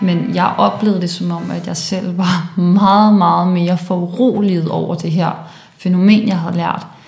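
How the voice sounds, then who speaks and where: A woman with fairly low pitch and fairly even intonation speaks at a fairly slow pace, with noticeable background noise and audible room echo. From Denmark, Copenhagen (Valby). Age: 20s. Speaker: climate activist, philosopher. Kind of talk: interview. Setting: indoor room at student house.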